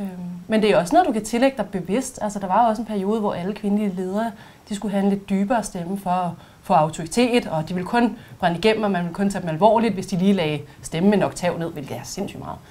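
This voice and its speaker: A woman speaks at a very fast pace and medium pitch, her tone dark, mellow and somewhat breathy, with ordinary pitch variation. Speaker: voice and speech trainer. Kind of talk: expert explanation.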